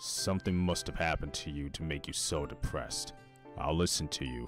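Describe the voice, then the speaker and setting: Over clear music in the background, a man uses a put-on character voice with a very deep, low pitch at a fairly quick pace. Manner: gentle, concerned.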